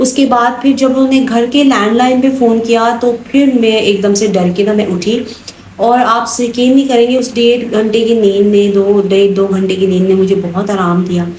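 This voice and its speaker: A woman speaks with a fairly high pitch at a very even volume, with audible room echo and noticeable background noise. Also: moderate pace, hardly any pauses. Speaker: vlogger. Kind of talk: casual vlog talk.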